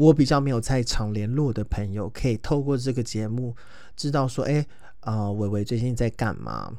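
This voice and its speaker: Lively intonation from a man at medium pitch and a moderate pace. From Taiwan, Taoyuan. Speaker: podcast host. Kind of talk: casual monologue. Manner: halting, many fillers.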